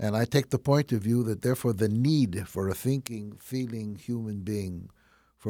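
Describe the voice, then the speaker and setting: In a very clean recording with a silent background, a speaker with a Chicago accent uses a dark, mellow tone at a moderate pace with ordinary pitch variation. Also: man. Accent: Chicago Midwestern American. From Chicago, US Midwest. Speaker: concert pianist. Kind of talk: radio interview. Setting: studio.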